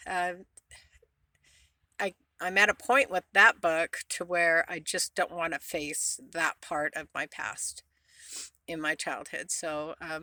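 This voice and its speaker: A woman's fairly low pitch in a bright, sharp tone, with fairly even intonation, a very slow pace and long, frequent pauses, in a very clean recording with a silent background and a dry, close sound with no echo. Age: 60s. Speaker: van-life vlogger. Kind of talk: casual vlog monologue. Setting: inside a van. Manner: rambling, many fillers and restarts.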